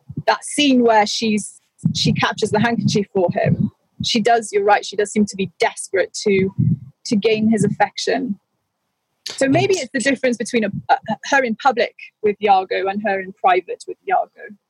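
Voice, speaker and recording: A woman's fairly high, somewhat breathy voice moves at a moderate pace with ordinary pitch variation. The sound is dry and close, with no echo. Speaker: co-host, Shakespeare discussant. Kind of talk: casual chat about literature. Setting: balcony, remote call.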